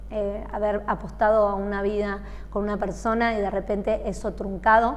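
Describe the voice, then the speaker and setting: A woman's medium-pitched, monotone, flat delivery at a fairly slow pace, with audible room echo. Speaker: singer. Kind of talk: interview.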